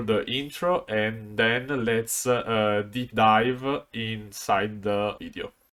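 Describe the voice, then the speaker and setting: This very clean recording, with a silent background, features a man speaking with an Italian accent. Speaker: card game content creator. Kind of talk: video commentary on card game strategy. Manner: halting, many fillers.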